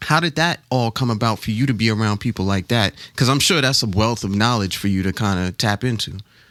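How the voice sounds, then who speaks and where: A man with an ordinary speaking voice at medium pitch, ordinary pitch variation and very even loudness, fairly quick with hardly any pauses, on a very clean recording with a silent background and a dry, close sound with no echo. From New York, the Bronx. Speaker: radio host. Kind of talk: radio interview. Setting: studio.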